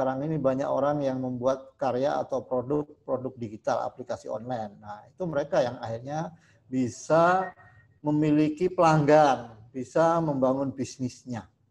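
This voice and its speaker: His pitch rises and falls in an ordinary way. The man keeps to a moderate pace. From Jember, East Java. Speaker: school administrator. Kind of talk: formal speech. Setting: video call. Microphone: video call.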